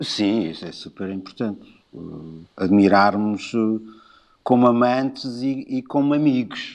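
Medium-pitched male speech at a fairly slow pace, with ordinary pitch variation, long, frequent pauses and a quiet background. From Portugal, Lisbon. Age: 50s. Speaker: musician and designer. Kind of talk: casual chat. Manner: halting.

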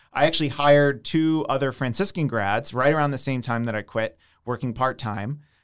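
The recording is very clean, with a silent background. A man with a normal speaking voice and an American accent talks at a moderate pace, medium in pitch with ordinary pitch variation. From US, suburban Philadelphia (Downingtown). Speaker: software developer and entrepreneur. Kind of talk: casual interview.

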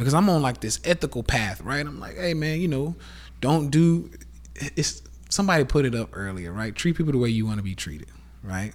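A somewhat breathy man with a Southern US accent talks fairly quickly at a medium pitch. His pitch swings very widely, and the recording is very clean with a silent background. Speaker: podcast host, live streamer. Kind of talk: casual rant monologue. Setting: Instagram live stream. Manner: animated.

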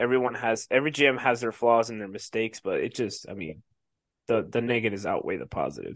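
The speaker talks at a very fast pace with an American accent. Pitch variation is ordinary. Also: man, medium pitch for a man. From Colorado. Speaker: sports podcast co-host. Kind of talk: casual chat.

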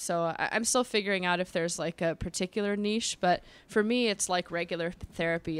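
In a very clean recording with a silent background, a woman with an American accent talks at a fairly quick pace. She has a plain, everyday voice, with a medium pitch and fairly even intonation. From Los Angeles, US West Coast. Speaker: sex therapist. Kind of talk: casual chat. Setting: in studio with hosts.

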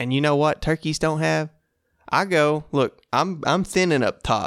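A man's voice with an American accent at a fairly slow pace, with ordinary pitch variation, dry and close with no echo, on a very clean recording with a silent background. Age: 20s. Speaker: hunting podcast host. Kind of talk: casual solo talk. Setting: solo at home recording. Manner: animated.

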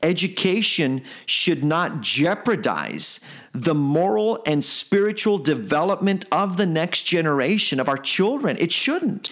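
A man speaks at a fairly high pitch with a fairly bright tone. His delivery is passionate, with big pitch swings. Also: fairly slow pace.

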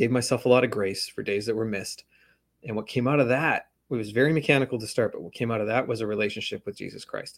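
Big swings in loudness and ordinary pitch variation come through at a very fast pace on a very clean recording with a silent background. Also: man, medium pitch for a man. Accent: Western Canadian. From Canada, West Coast (Vancouver area). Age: 40s. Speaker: author. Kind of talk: interview conversation.

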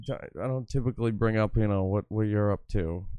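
A man speaks at a moderate pace with an American accent, his pitch fairly low and his tone dark and mellow. His intonation stays fairly even against a quiet background. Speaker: livestream host. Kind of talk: casual banter on a livestream.

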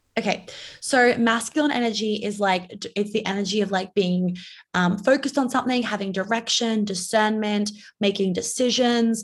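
A woman with an American accent sounds somewhat breathy. Her intonation stays fairly even. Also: very clean recording, silent background. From New York. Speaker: life coach. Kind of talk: podcast interview.

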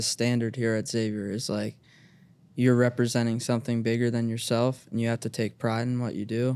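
A man with a Midwestern American accent, medium pitch, dark, mellow tone and monotone, flat intonation at a fairly quick pace, in a very clean recording with a silent background. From Cincinnati, Ohio (east side). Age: 20s. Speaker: college basketball team manager. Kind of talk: casual chat.

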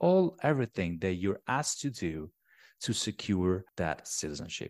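The sound is dry and close, with no echo, on a very clean recording with a silent background. The speaker has an Italian accent. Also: man. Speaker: tax accountant. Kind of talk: interview.

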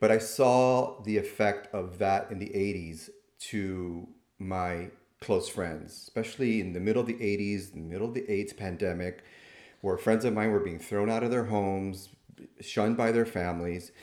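A man with an American accent, fairly low in pitch, at a moderate pace with fairly even intonation and audible room echo. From Miami, Florida (Cuban American). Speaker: nurse practitioner and clinical professor. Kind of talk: interview.

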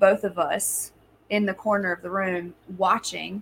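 In an ordinary speaking voice, the speaker keeps a moderate pace and fairly even intonation. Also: woman. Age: 30s. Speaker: spiritual medium. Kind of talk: casual interview conversation.

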